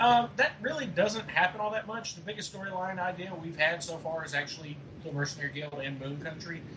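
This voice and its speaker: Over noticeable background noise, the speech moves at a fairly quick pace with hardly any pauses. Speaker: podcast co-host, forum staff member. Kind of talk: casual podcast Q&A.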